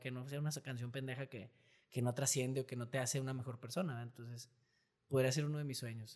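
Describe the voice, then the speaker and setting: A man's medium-pitched voice moves along at a very fast pace. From Mexico. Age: 30s. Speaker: singer and engineer. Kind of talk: casual interview chat. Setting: studio.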